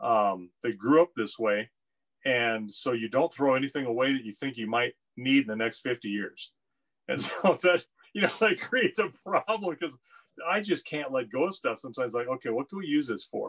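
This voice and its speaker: Fairly quick pace against a quiet background. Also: man. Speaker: guest. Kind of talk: casual conversation. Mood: relaxed, occasional laughs. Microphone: video call.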